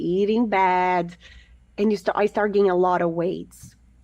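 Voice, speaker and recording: A woman talks with a Portuguese accent. The background is quiet. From Brazil. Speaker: fitness coach. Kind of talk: interview.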